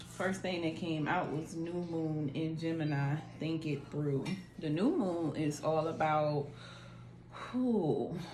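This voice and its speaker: In a room with audible echo and noticeable background noise, a woman speaks very slowly at a very deep, low pitch. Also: ordinary pitch variation. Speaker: tarot reader. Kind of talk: tarot reading. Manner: casual.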